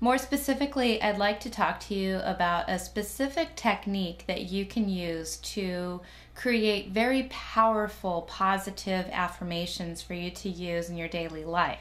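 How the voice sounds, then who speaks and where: A woman with an ordinary speaking voice talks at a moderate pace and medium pitch, with ordinary pitch variation and hardly any pauses. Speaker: hypnotherapist. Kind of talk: instructional talk to camera on self-help. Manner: friendly, instructive.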